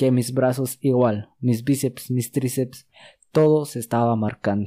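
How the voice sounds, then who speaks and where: Talking at a fairly slow pace, a man has a medium pitch and fairly even intonation. His tone is dark and mellow, on a very clean recording with a silent background. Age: 20s. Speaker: podcast host. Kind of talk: solo monologue podcast.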